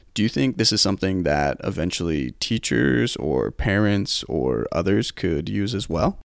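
A man's very deep, low voice with vocal fry, very wide pitch swings, a moderate pace and hardly any pauses. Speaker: podcast host and occupational therapy student. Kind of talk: casual interview.

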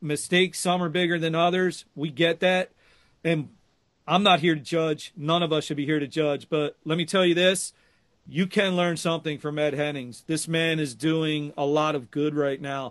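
A man speaks at a moderate pace with fairly even intonation. It is a normal speaking voice. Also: fairly high pitch for a man. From Philadelphia. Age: 50s. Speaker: podcast host. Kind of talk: interview.

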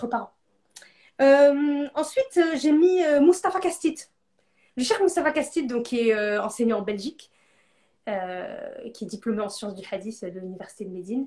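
At a moderate pace and in a dark, mellow tone, the voice makes very wide pitch swings and big swings in loudness, with long, frequent pauses. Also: woman, high pitch for a woman. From northern France. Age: 30s. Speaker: entrepreneur. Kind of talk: interview. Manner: animated.

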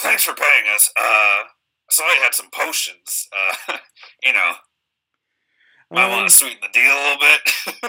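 Using a put-on character voice, a man speaks at an extremely high pitch, raspy, at a moderate pace with long, frequent pauses. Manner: blunt, casual.

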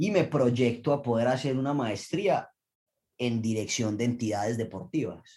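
At a fairly slow pace, an ordinary speaking voice moves with ordinary pitch variation. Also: man, medium pitch for a man. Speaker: Olympic diver. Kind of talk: interview.

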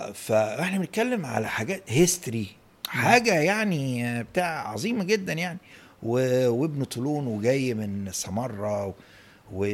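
A man speaks in an animated tone with very wide pitch swings. His pace is fairly slow. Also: medium pitch for a man. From Egypt, Cairo. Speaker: professor of Islamic art and architecture. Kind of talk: casual interview. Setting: home office.

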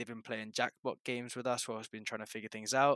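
A man's medium-pitched voice, bright and sharp in tone with monotone, flat intonation, in a very clean recording with a silent background and a dry, close sound with no echo. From England. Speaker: podcast co-host, student athlete. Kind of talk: casual chat.

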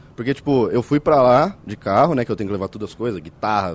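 The speaker is a man whose intonation is lively. He goes at a very fast pace. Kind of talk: casual banter, live podcast. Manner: joking, playful.

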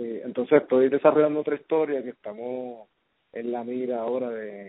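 Male voice at medium pitch, moderate pace, flat monotone delivery. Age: 30s. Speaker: filmmaker. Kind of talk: casual interview. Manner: halting, many fillers.

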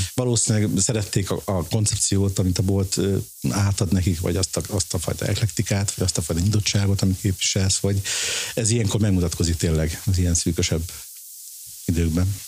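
A man speaks with a very deep, low pitch at a fairly quick pace, with fairly even intonation and very even loudness. Noticeable background noise sits behind him. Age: 50s. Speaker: design shop founder and blogger. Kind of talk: casual interview. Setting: office in a flat.

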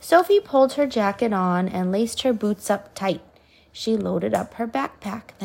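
Natural-sounding reading aloud

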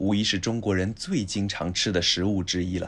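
A man at a fairly low pitch and a very slow pace, on a very clean recording with a silent background. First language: Chinese (speaking Japanese). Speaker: language podcast co-host, Chinese teacher. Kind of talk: reading aloud.

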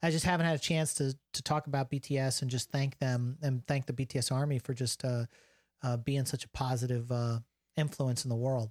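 A man talks at medium pitch in an ordinary speaking voice, keeping a fairly quick pace, fairly even intonation and very even loudness. The sound is dry and close with no echo, on a very clean recording with a silent background. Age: 40s. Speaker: podcast host, film industry worker. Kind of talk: casual chat.

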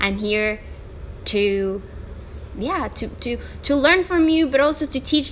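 Lively intonation from a woman, noticeable background noise behind her. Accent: Spanish. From El Salvador. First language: Spanish. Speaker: podcast host. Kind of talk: solo podcast monologue. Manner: animated; halting, many fillers.

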